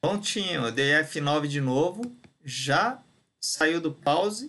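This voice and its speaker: Bright and sharp in tone, a man speaks. His intonation is lively. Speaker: software instructor. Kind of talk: tutorial. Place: home room. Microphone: webcam.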